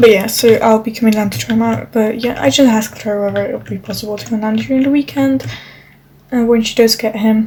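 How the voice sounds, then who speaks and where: Talking at a very fast pace with a non-native accent, a woman swings widely in loudness over noticeable background noise. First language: not English. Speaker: gaming vlogger. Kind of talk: casual chat. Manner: halting.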